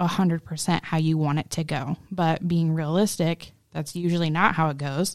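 Speaking with a plain, everyday voice, a woman keeps a moderate pace, her pitch fairly low. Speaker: co-host of a co-parenting podcast, stepmom. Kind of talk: casual conversational podcast, candid and reflective.

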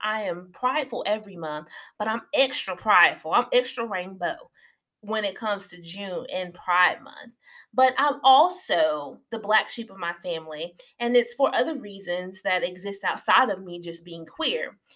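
A woman with an American accent speaks at a fairly slow pace in a fairly high, bright, sharp voice. Her intonation is lively and her loudness swings widely. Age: 30s. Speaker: podcast host. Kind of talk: casual solo monologue. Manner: animated.

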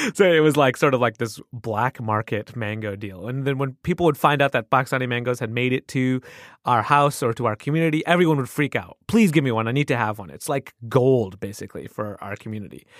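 On a very clean recording with a silent background and a dry, close sound with no echo, a man with an American accent uses an ordinary speaking voice at a medium pitch, with ordinary pitch variation and hardly any pauses. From US Midwest. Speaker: podcast host. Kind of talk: casual chat.

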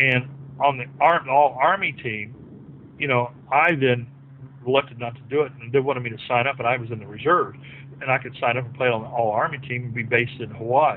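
A man with an ordinary speaking voice talks at a fairly quick pace and medium pitch, with fairly even intonation but big swings in loudness. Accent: American. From southwest Virginia, Appalachia. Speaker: former basketball player. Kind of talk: casual interview.

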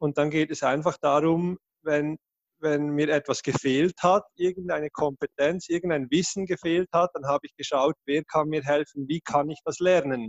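Using an unremarkable speaking voice, a man with a fairly high pitch and fairly even intonation shows big swings in loudness. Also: moderate pace. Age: 30s. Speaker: education project founder. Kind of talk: interview.

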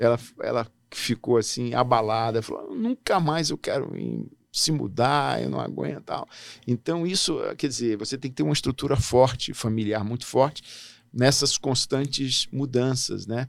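The recording is very clean with a silent background. It's a plain, everyday voice at a moderate pace with ordinary pitch variation. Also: man, medium pitch for a man. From Brasília, Brazil (born in Natal). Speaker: diplomat. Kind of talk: interview.

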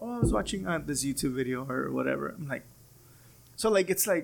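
A man's fairly quick speech with vocal fry, very wide pitch swings, and long, frequent pauses. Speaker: podcast host. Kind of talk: casual interview conversation.

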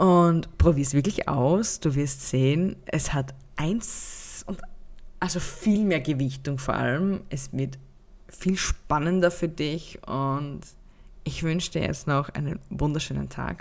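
A woman's very deep, low voice at a very slow pace, with ordinary pitch variation. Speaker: podcast host and happiness mentor. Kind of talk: unscripted solo podcast monologue. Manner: spontaneous, unscripted.

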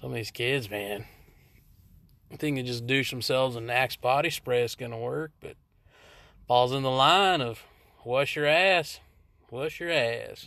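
Bright, sharp tone at a fairly slow pace, with ordinary pitch variation, long, frequent pauses and a very clean recording over a silent background. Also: man, medium pitch for a man. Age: 30s. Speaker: podcast host. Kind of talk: casual monologue.

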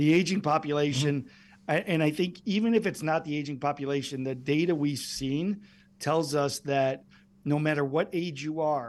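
Over a quiet background, a man speaks in a normal speaking voice at a fairly high pitch, a moderate pace, and with ordinary pitch variation. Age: 50s. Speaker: medical device company executive. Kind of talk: interview.

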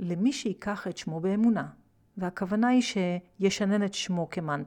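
A passage is being read out. The reader uses a natural voice.

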